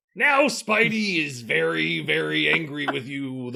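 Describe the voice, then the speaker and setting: A man puts on a growling, raspy character voice at a medium pitch. He talks at a fairly slow pace. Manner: angry, growling.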